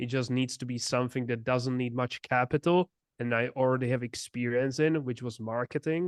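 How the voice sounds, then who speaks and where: A man with a Czech accent, medium pitch, fairly quick pace and fairly even intonation, in a dry, close recording with no echo and a quiet background. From Czech Republic. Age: 20s. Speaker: entrepreneur. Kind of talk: interview.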